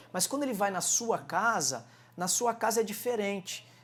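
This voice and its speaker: A man talks in an animated tone at a moderate pace. His pitch varies in an ordinary way. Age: 40s. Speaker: martial arts coach and entrepreneur. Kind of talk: interview.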